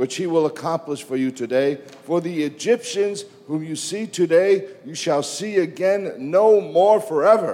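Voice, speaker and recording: A man's passionate, high voice at a very slow pace, with ordinary pitch variation and noticeable background noise. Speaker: visiting preacher. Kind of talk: sermon preached in English with live translation. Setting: church. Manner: passionate, fervent, emphatic preacher cadence with praise and exclamations.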